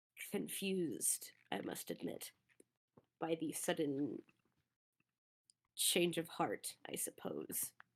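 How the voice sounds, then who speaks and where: A raspy put-on character voice at middle pitch, very slow, with long, frequent pauses. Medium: actual play. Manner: formal, measured, dry.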